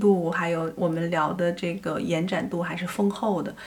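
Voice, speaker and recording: A woman speaks at a moderate pace with a fairly low pitch and fairly even intonation. Noticeable background noise is present. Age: 50s. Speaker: film director. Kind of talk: interview conversation. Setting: face-to-face recording.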